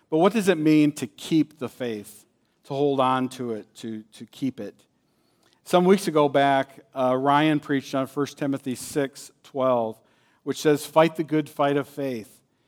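A man with a plain, everyday voice, fairly high pitch and ordinary pitch variation shows big swings in loudness on a very clean recording with a silent background and a dry, close sound with no echo. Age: 50s. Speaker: guest preacher. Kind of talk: sermon.

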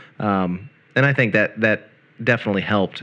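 A man with a fairly low pitch at a moderate pace against a quiet background, an ordinary speaking voice. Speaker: radio host. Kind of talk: casual chat. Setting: RV.

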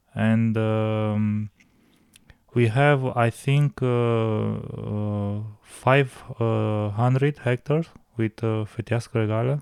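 A man with a Romanian accent speaks very slowly at a medium pitch, with fairly even intonation. The sound is dry and close, with no echo. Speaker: winemaker. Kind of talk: casual interview. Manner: halting.

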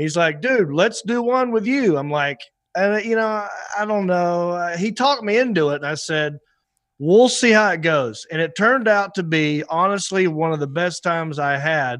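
Over a quiet background, a man with a North Carolina accent speaks at a high pitch and a moderate pace with lively intonation. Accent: North Carolina Southern. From US South, Hickory, North Carolina. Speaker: comedian and actor. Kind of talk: casual chat. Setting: studio, remote video call.

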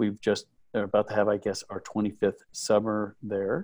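A man with an American accent speaks at a fairly slow pace in a monotone, flat intonation. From Texas (Midland). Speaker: camp owner. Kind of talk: interview.

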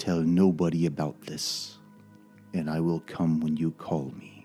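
A man's put-on character voice at a very deep, low pitch and fairly slow pace, with faint music in the background. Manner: calm, conspiratorial.

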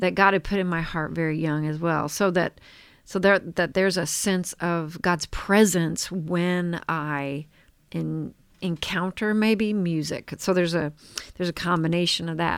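A woman with an American accent speaks in an ordinary speaking voice, fairly low in pitch with fairly even intonation, on a very clean recording with a silent background. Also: fairly slow pace. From southern Missouri. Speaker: podcast co-host. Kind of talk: casual chat.

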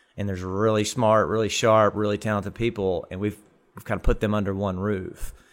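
On a very clean recording with a silent background, a man talks with an Arkansas accent. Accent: Arkansas Southern US. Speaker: technology park director. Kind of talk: casual interview. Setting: in-person, at the technology park. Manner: halting, many fillers.

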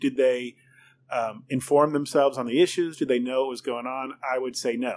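With a plain, everyday voice, a man talks at a moderate pace in a fairly high pitch with ordinary pitch variation over a quiet background. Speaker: podcast host. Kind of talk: interview conversation. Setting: restaurant wine room studio.

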